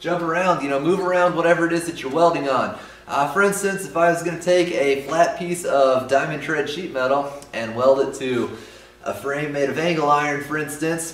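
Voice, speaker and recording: A man at a fairly quick pace with ordinary pitch variation and audible room echo. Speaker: welding instructor. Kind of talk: tutorial. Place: garage.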